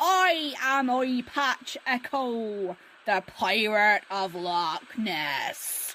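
A woman uses a put-on character voice at a fairly high pitch. She speaks at a very slow pace. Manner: boisterous, howling.

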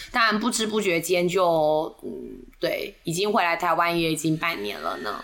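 A woman with a fairly low voice speaks at a moderate pace. Her intonation is lively. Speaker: podcast host, tour leader. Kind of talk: casual chat.

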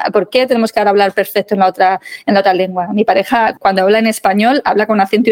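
A woman's fairly high voice with a Madrid accent, very fast, in a dry, close sound with no echo. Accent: Castilian Spanish (Madrid). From Spain, Madrid. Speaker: legal English teacher. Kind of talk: interview.

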